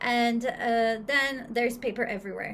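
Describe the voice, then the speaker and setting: A woman's high pitch with ordinary variation, at a moderate pace. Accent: Portuguese. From Brazil. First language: Portuguese. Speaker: English teacher. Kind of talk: casual chat.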